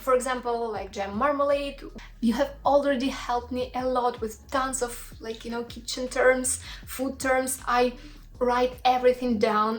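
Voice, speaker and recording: A woman speaks with a Russian accent at a fairly slow pace. Her voice is high-pitched and monotone, with flat intonation. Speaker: cooking YouTuber. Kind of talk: casual chat to viewers; cooking tutorial. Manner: halting, with fillers.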